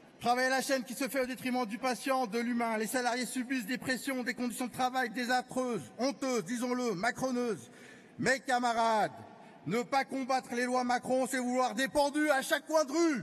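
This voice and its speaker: A man speaks at a moderate pace. His pitch is extremely high, and his intonation is fairly even. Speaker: trade union delegate. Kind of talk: congress speech. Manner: impassioned oratory.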